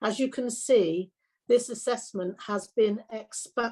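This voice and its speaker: A woman talks at a fairly slow pace with a fairly high pitch, a somewhat breathy quality and a dark, mellow tone. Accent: Welsh. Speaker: councillor. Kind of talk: formal council report presentation.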